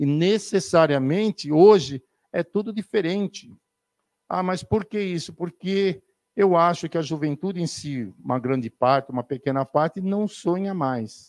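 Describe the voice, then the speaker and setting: A man's high-pitched voice with lively intonation at a fairly slow pace, dry and close with no echo, on a very clean recording with a silent background. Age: 60s. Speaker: spiritist speaker. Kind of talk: spiritist lecture.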